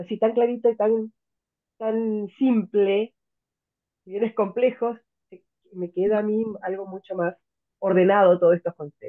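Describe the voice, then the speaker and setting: A woman's medium-pitched voice at a fairly slow pace, fairly even in intonation, with big swings in loudness and long, frequent pauses. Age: 60s. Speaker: student attending an open class. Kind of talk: audience comment in online class. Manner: halting.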